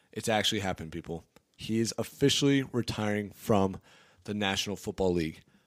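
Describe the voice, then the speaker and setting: In a very clean recording with a silent background, a man with a normal speaking voice speaks fairly quickly at a fairly low pitch. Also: big swings in loudness. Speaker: sports podcast host. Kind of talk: casual sports talk podcast. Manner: joking, playful banter.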